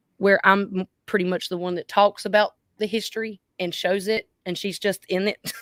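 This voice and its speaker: Woman with a North Carolina accent, medium pitch, monotone, flat intonation, moderate pace, and a dry, close sound with no echo. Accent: Southern US accent, North Carolina. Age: 30s. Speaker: YouTuber. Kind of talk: casual chat.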